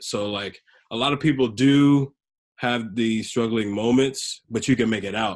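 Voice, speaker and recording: Medium in pitch with fairly even intonation, a man talks in a normal speaking voice. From US South (Tennessee), born in South Sudan. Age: 20s. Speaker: musician. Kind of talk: podcast interview.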